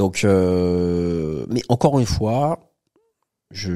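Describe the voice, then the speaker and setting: A man speaks in a dark, mellow tone. His intonation is lively. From France, Paris. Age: 30s. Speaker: entrepreneur and property investor. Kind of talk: casual interview chat.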